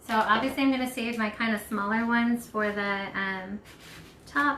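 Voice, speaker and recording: A woman's fairly high voice at a moderate pace, with fairly even intonation and audible room echo. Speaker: craft shop owner hosting live craft session. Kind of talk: live craft tutorial. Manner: casual, filler-heavy.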